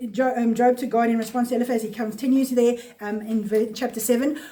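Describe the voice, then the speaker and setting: A woman's voice sits at a fairly high pitch with fairly even intonation. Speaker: Bible teacher. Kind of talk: Bible study teaching. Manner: fast; halting.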